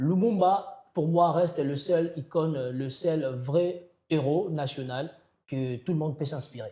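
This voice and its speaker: A man with a Congolese accent, very slow and fairly high-pitched, with a dark, mellow tone and ordinary pitch variation. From DR Congo. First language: Kikongo (speaking French). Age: young. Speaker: slam poet. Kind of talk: interview. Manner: halting, many hesitations.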